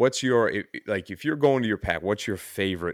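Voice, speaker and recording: With a Newfoundland accent, a man speaks at a fairly quick pace using lively intonation. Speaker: podcast host. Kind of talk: casual chat.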